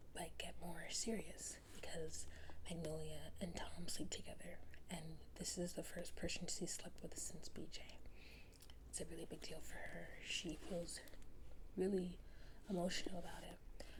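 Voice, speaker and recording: A woman whispering at a fairly slow pace, with long, frequent pauses. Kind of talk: casual talk to camera, book review ramble. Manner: soft-spoken, whispering.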